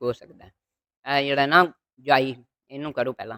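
The sound is dry and close with no echo. A woman talks in a fairly even intonation. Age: 80s+. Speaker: yoga teacher. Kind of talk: tutorial.

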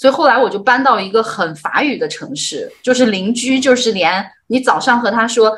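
A woman speaks. Her voice sits high in pitch. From northern China. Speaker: livestream host. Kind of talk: livestream interview. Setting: livestream. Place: home room. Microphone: video call.

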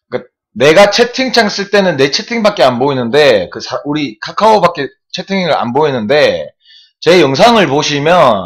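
A man's voice with vocal fry and very wide pitch swings, set against a quiet background. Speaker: swimming live streamer. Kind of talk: casual live-stream chat explaining the chat overlay. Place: home room. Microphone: webcam.

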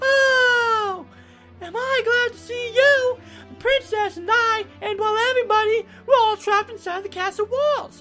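Clear music plays behind a put-on character voice pitched extremely high and delivered at a moderate pace. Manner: panicked, eager.

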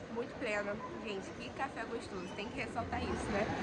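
Loud background noise runs beneath this woman's voice. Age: 20s. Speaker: beauty influencer. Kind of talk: vlog narration. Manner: animated. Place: station. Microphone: phone near.

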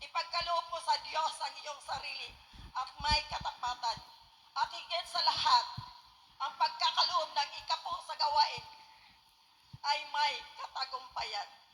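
In a raised, projected voice, the speaker goes at a fairly slow pace with lively intonation and long, frequent pauses. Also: woman, extremely high pitch for a woman. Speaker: church member giving testimony. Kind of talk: testimony. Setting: gathering with radio broadcast.

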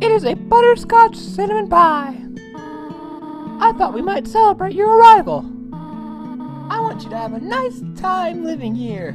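A put-on character voice speaks over clear background music. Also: moderate pace. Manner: warm, welcoming.

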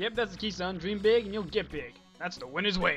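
Simply a natural reading voice

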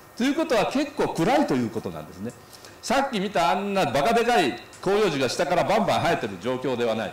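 A man's high voice at a very fast pace, with very wide pitch swings and audible room echo. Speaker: association representative giving a talk. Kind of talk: symposium talk with slides. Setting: symposium hall with audience. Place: hall. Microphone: podium.

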